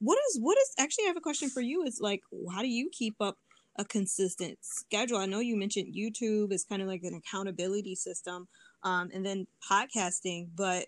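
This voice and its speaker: A woman with a Detroit accent talks at a fairly quick pace, her pitch medium with ordinary variation. The recording is very clean and dry, close and echo-free against a silent background. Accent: Midwestern American, Detroit. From US Midwest, Detroit. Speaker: language learner and polyglot speaker. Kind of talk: casual interview chat.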